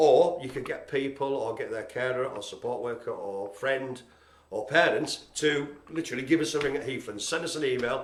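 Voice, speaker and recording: There is audible room echo and noticeable background noise as a man talks at a fairly high pitch. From northern England, Carlisle. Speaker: live stream host for a community project. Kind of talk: mock-dramatic performance; casual live broadcast chat. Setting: live streamed video from the centre. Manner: ad-libbing; animated.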